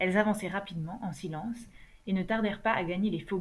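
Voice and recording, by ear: Ordinary pitch variation in a natural read-aloud voice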